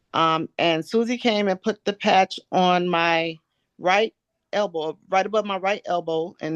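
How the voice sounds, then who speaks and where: A woman talks in a normal speaking voice at a medium pitch with ordinary pitch variation. The sound is dry and close with no echo, over a quiet background. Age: 60s. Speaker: testimonial giver. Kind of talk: testimony. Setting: group conference call.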